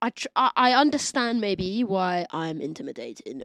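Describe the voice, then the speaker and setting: In a Cockney accent, a woman speaks loudly at a moderate pace and medium pitch, her pitch swinging very widely, with a quiet background and a dry, close sound with no echo. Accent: Cockney London English. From East London (Cockney). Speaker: DJ, producer and label owner. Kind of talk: casual chat. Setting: podcast studio.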